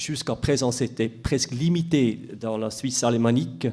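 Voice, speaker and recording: This man has a medium pitch and a dark, mellow tone. He talks at a very slow pace. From Switzerland, Biel/Bienne. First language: Swiss German (speaking French). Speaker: municipal tax official. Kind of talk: conference talk. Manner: halting, many hesitations.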